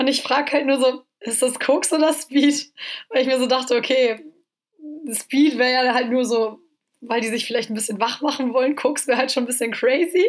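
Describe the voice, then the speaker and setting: Her voice high and her intonation fairly even, a woman speaks at a moderate pace. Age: 20s. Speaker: student. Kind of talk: casual chat.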